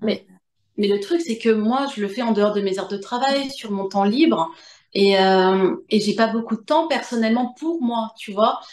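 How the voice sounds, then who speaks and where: A woman speaks at a fairly slow pace. Her fairly high voice has lively intonation. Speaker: medium and author. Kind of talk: interview answer.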